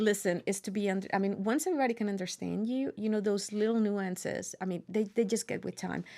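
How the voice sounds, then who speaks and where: In a very clean recording with a silent background, a woman speaks very fast with a Spanish accent and a dark, mellow tone. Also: medium pitch for a woman, hardly any pauses. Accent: Spanish accent, noticeable. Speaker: university professor. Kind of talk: interview. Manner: animated.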